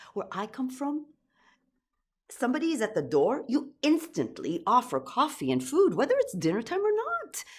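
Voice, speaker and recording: A woman with an Israeli accent speaks at a moderate pace. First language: Hebrew. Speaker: storyteller. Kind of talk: personal story performance.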